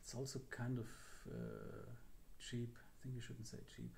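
This man's voice has a dark, mellow tone and is somewhat breathy. He speaks at a moderate pace. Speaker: drone hobbyist vlogger. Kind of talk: casual vlog chat. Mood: a bit nervous, hopeful. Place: home room. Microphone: phone near.

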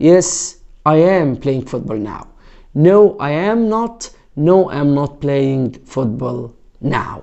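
A man talks at a very slow pace and a fairly high pitch. The background is quiet. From Egypt. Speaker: English teacher. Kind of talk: tutorial. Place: home room. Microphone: lapel.

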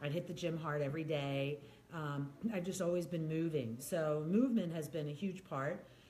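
Over light background noise, a woman with a very deep, low voice speaks at a moderate pace with ordinary pitch variation. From US Northeast, New York or Philadelphia. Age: 50s. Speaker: wellness speaker living with MS. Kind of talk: casual chat. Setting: video recorded at host's home. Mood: candid, reflective. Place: home room.

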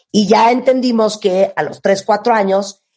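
A woman talks at a fairly slow pace with ordinary pitch variation, and the background is quiet. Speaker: radio host. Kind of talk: host commentary in Spanish, mixed with English. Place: studio.

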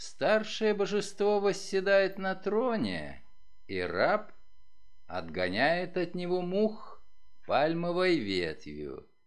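This man talks at a very slow pace. His speech has long, frequent pauses. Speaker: actor. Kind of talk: audiobook reading.

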